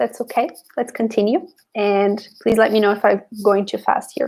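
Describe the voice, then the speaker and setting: Here is a woman with an ordinary speaking voice. Her pitch is fairly high and her pace moderate. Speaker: spiritual coach. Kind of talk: live stream talk. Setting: live video stream.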